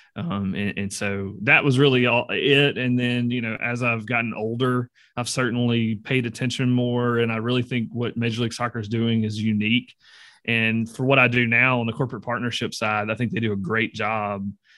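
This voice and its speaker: A man with a Southern US accent speaks at a moderate pace in a bright, sharp tone, his medium pitch and fairly even intonation captured in a very clean recording against a silent background. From Mississippi. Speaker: podcast co-host. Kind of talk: casual interview.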